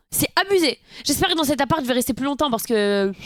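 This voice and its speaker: At a very fast pace and a high pitch, a woman talks with lively intonation in a dry, close sound with no echo. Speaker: streamer. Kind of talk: casual live-stream chat. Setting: at home, live stream.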